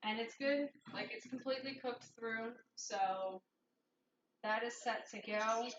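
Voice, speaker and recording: Speaking at a fairly slow pace with long, frequent pauses, a woman keeps a fairly high pitch and fairly even intonation. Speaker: streamer and culinary student. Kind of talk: live-streamed cooking tutorial. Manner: loud.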